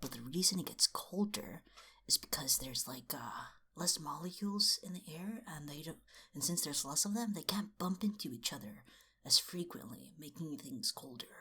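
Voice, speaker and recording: Whispering at a moderate pace. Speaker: video essayist / book commentator. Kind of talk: casual commentary. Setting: at home at midnight.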